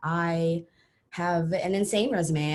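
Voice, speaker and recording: A woman with a fairly low pitch and a strong Texan accent. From Texas, San Antonio. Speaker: coding bootcamp student. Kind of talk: casual self-introduction.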